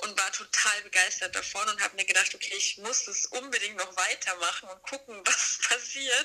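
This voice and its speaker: There is noticeable background noise. A woman speaks at a moderate pace and a fairly high pitch. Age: 30s. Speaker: designer and author. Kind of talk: casual chat.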